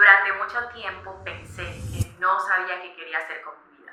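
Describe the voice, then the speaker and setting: Noticeable background noise and audible room echo surround a woman's voice. She speaks at a fairly low pitch and a moderate pace. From Colombia, Barranquilla (Caribbean coast). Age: 20s. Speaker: lifestyle vlogger. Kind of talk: personal reflection vlog. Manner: conversational, friendly.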